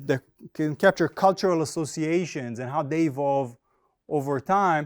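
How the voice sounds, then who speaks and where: With an Israeli accent, a man talks at a moderate pace in a fairly high voice with lively intonation, on a very clean recording with a silent background and a dry, close sound with no echo. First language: Hebrew. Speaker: finance professor. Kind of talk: academic conference presentation. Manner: halting, many fillers.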